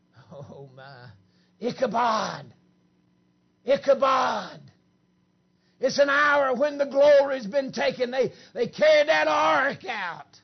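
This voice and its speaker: A shouting man with an American accent, extremely high-pitched, very slow with long, frequent pauses, lively intonation and big swings in loudness. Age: 50s. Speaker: preacher. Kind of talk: camp meeting sermon, Pentecostal holiness style, with banter at the congregation. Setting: church camp meeting with congregation. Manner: animated, joking crowd interplay with laughter.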